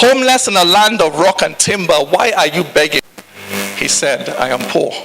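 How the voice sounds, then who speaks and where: A man's raised, projected voice carries over noticeable background noise. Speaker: spoken word poet. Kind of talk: spoken word poetry performance.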